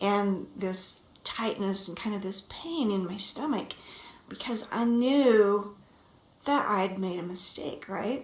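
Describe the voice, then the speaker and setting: A woman speaks at a medium pitch. Noticeable background noise and audible room echo are present. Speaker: marriage coach. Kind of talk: vlog monologue.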